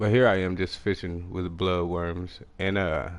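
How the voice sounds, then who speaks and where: Mumbling at a fairly slow pace, a man with a very deep, low pitch speaks in a strong rural Texas accent. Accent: strong country Texas. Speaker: video game streamer. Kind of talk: casual live gameplay commentary.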